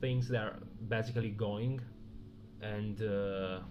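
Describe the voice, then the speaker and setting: In a room with audible echo, a man speaks at a fairly slow pace with fairly even intonation. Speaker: stock trader streamer. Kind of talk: live trading stream commentary. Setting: live stream. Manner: halting, thinking aloud.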